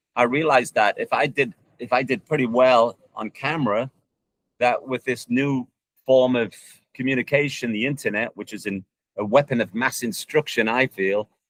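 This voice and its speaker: The dry, close sound with no echo carries a man's ordinary speaking voice at a moderate pace with ordinary pitch variation. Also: medium pitch for a man. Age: 60s. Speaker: soccer coach and online video creator. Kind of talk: interview.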